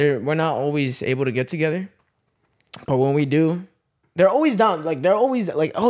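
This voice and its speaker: A man with a normal speaking voice talks at a fairly high pitch with lively intonation. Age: 20s. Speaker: YouTube vlogger. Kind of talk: casual chat.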